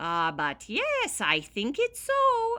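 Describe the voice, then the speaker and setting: Put-on character voice in an Irish accent. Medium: read story.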